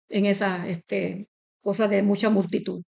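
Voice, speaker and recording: Moderate pace and vocal fry, with a dry, close sound and no echo. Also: woman. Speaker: interviewee, association member. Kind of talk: interview.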